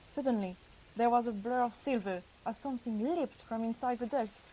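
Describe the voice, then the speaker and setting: Her voice has a dark, mellow tone and sits high for a woman. The pitch varies in an ordinary way. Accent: French. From France. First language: French. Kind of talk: audiobook reading.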